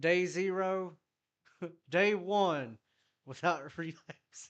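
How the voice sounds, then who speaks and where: A man with a Southern US accent. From US South, South Carolina. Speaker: music producer streamer. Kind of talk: casual live stream chat. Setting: live stream. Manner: casual, profane.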